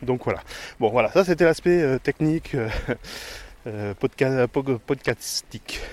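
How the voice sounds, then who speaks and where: A man at a medium pitch with ordinary pitch variation, a very slow pace and long, frequent pauses, in a dry, close sound with no echo. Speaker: podcaster. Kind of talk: casual monologue. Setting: outdoors, countryside. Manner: halting, stumbling.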